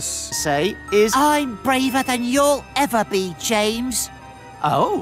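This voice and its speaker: With clear music in the background, a shrill put-on character voice speaks at a very slow pace. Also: man, high pitch for a man. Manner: jokey, sincere.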